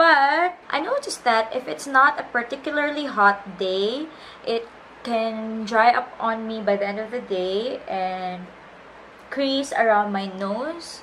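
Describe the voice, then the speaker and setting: Noticeable background noise surrounds a woman with a fairly high pitch. She speaks at a very slow pace with lively intonation. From Philippines. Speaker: beauty vlogger and freelance makeup artist. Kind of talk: makeup tutorial talk to camera.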